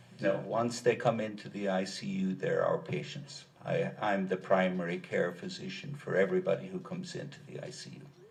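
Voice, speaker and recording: An Irish accent carries a fairly quick pace. Loudness swings in a big way. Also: man. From Ireland, rural County Kilkenny. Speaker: doctor, expert witness. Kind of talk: courtroom testimony. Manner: measured, explanatory.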